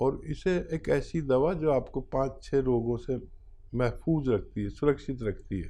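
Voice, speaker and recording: The tone is dark and mellow. A man's voice rests at a medium pitch. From India. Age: 60s. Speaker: hakim (traditional medicine practitioner). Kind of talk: health advice interview.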